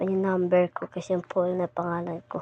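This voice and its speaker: A soft-spoken woman talks at a fairly slow pace. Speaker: gaming vlogger. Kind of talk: casual vlog talk to viewers.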